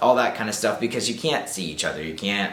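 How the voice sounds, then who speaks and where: Over noticeable background noise, a man speaks in an upbeat tone with an American accent. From Southern United States. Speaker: YouTuber. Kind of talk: casual talk to camera. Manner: upbeat, chatty.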